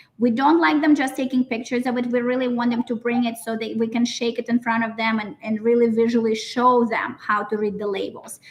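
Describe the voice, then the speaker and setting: A woman talks at a fairly quick pace with hardly any pauses, her pitch fairly high, over noticeable background noise. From Russia (Siberia). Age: 30s. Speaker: nutrition business owner. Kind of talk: live event interview. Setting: live event with audience. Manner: animated.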